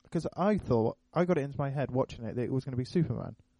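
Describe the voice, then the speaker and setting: A man with a British accent speaks at a fairly high pitch. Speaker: podcast host. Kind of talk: casual chat.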